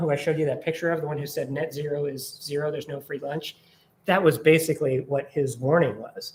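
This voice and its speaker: The speaker talks at a fairly quick pace with a somewhat breathy sound. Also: man. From Minnesota, Minneapolis. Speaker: environmental advocacy director. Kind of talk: presentation with Q&A. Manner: fast; animated.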